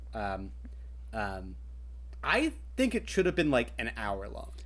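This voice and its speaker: The speaker talks with an American accent at a moderate pace. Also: man. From Kentucky, US. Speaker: writer and tabletop game master. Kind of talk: casual chat.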